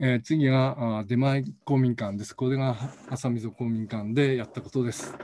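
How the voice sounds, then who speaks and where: An ordinary speaking voice from a man, medium in pitch, at a moderate pace, with fairly even intonation and big swings in loudness. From Hokkaido. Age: 60s. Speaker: professor. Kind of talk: lecture. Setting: recorded video, no live audience.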